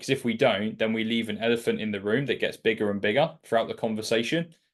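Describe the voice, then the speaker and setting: Against a quiet background, a man with a British accent and a medium pitch speaks at a fairly quick pace. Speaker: sales mentor. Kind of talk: mentorship session. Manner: casual, filler-heavy.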